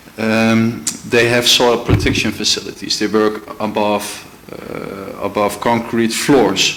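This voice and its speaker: A Dutch accent at a very slow pace, with audible room echo and noticeable background noise. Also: man. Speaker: legal advisor. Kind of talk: formal presentation to a committee. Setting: council committee meeting. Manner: halting, many fillers and restarts.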